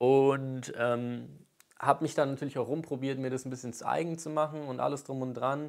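Medium-pitched male voice, monotone and flat, at a moderate pace over a quiet background. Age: 20s. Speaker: YouTuber and aspiring rapper; YouTuber. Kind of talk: vlog monologue rant. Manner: casual, hesitant with many fillers. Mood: earnest, determined. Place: home room. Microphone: lapel.

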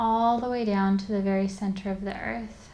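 A woman's fairly high, somewhat breathy voice, soothing and calm in tone, with monotone, flat intonation. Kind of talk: guided meditation. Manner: slow, soothing, calm and gently paced with long pauses; soft-spoken, instructive.

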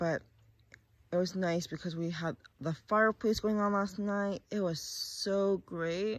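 A woman at a moderate pace, ordinary pitch variation, dry sound with no echo and a quiet background. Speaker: vlogger. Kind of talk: casual vlog chat. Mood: relaxed, grateful. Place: garden. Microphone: phone near.

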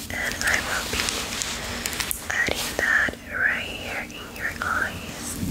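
A woman whispers. Her pace is very slow. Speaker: makeup roleplay host. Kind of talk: soft-spoken bilingual roleplay tutorial. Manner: soft, hushed ASMR voice. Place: home room. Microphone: phone near.

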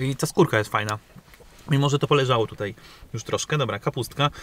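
Over light background noise, a man talks at a very fast pace with ordinary pitch variation, the sound dry with no echo. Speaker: food reviewer. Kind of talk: casual vlog chat, food review. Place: car. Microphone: phone near.

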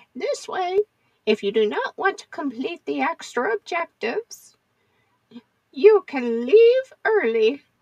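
With an extremely high pitch and very wide pitch swings, a woman speaks at a fairly slow pace with long, frequent pauses and big swings in loudness, in a dry, close recording with no echo. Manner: sweet, gently teasing.

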